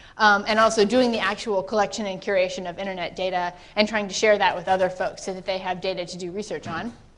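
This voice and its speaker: Over audible room echo, a woman with a medium-pitched voice speaks very fast with fairly even intonation. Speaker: internet measurement researcher. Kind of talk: conference talk.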